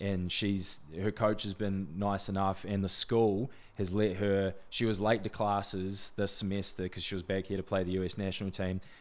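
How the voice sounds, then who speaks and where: In a New Zealand accent, a man speaks at a moderate pace with a very deep, low pitch and monotone, flat intonation, the recording very clean with a silent background. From New Zealand, Wanganui. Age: 20s. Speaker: sports agent. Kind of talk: casual interview.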